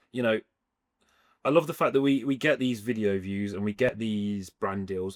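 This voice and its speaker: Lively intonation in an English Midlands accent, big swings in loudness, a moderate pace, and a very clean recording with a silent background. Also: man. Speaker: street food trader. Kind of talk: casual interview chat.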